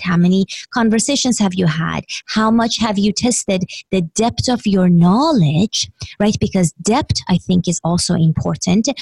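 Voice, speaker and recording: Somewhat breathy, a woman speaks at a fairly slow pace and medium pitch with ordinary pitch variation. The sound is dry and close, with no echo. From Iran. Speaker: business coach. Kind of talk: interview.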